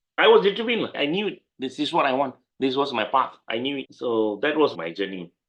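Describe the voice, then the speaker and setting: A man with a Malaysian accent speaks at a fairly quick pace with a fairly high pitch. His pitch swings very widely, and there is vocal fry in his voice. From Malaysia (Penang). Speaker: lawyer. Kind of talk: interview.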